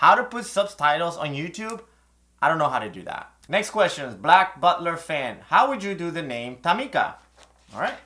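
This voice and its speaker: A man with a Spanish accent talks at a moderate pace in a high pitch with a bright, sharp tone, very wide pitch swings and big swings in loudness. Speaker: calligraphy teacher. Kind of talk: Q&A video. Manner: casual, conversational.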